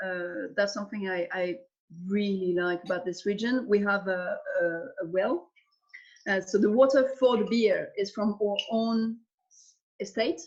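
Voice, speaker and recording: Delivered in a French accent at a fairly slow pace, the speech has ordinary pitch variation and long, frequent pauses. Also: woman, medium pitch for a woman. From Alsace, eastern France. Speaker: winemaker. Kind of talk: interview. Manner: halting.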